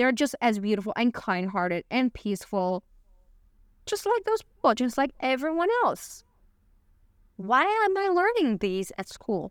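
A woman with a Chinese accent speaks at a fairly slow pace with long, frequent pauses, her high pitch moving in very wide swings, in a dry, close sound with no echo. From Beijing, China (Uyghur). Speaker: human rights advocate. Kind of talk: interview.

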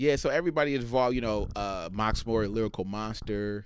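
This man's delivery is very fast. The rise and fall of his pitch is ordinary. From East Oakland, California. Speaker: music producer and crew member. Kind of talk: interview conversation.

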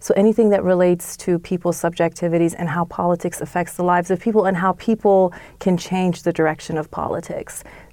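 A woman's fairly low voice with an American accent, very fast and with hardly any pauses, in a monotone, flat intonation. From Iran, moved to US as child. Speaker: political science professor. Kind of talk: interview. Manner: frequent fillers and hesitations.

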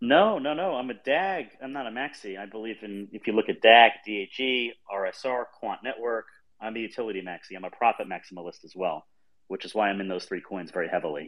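With lively intonation, a man speaks at a medium pitch in a plain, everyday voice. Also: big swings in loudness. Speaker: crypto art collector. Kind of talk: casual banter in an online audio space. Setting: online audio space.

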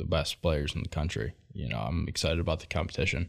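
A man with an American accent talks at a fairly quick pace in a very deep, low voice with vocal fry. His pitch varies in an ordinary way, over a very clean recording with a silent background. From Michigan, Macomb. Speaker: college baseball player. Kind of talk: interview. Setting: studio.

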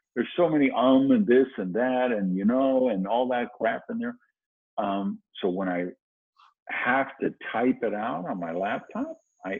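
An unremarkable speaking voice with an American accent moves at a fairly slow pace with lively intonation. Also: man, medium pitch for a man. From US Midwest (Madison, Wisconsin). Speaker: author and motivational speaker. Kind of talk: interview.

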